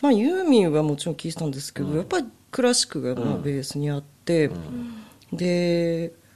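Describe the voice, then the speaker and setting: A woman talks at a fairly quick pace, her fairly low voice lively in intonation. Noticeable background noise runs beneath her. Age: 40s. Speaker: music fan and amateur violinist. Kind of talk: casual chat.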